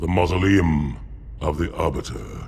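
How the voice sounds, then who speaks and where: In a cartoonish character voice with a very deep, low pitch, a man talks at a moderate pace over clear background noise. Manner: harsh, growling.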